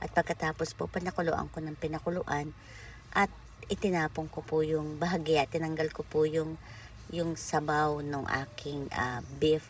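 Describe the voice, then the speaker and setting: A woman speaks at a moderate pace with a very deep, low pitch and vocal fry. Her intonation is monotone and flat. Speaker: OFW cooking vlogger. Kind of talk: cooking vlog narration. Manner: halting with self-corrections.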